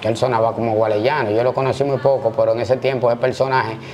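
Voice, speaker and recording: The speech has fairly even intonation, with light background noise behind it. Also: man. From Dominican Republic, Santo Domingo (Gualey). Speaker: former prison inmate and street figure. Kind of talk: interview testimony. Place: home room. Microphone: lapel.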